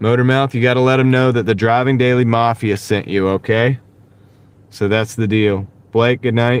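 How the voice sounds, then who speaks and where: A man with a Southern accent speaks at a medium pitch with monotone, flat intonation. His pace is moderate and his loudness very even. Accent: light Southern. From US South. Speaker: gig delivery driver and livestreamer. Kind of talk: casual livestream chat.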